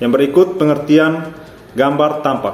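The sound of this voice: A man at a medium pitch speaks with audible room echo.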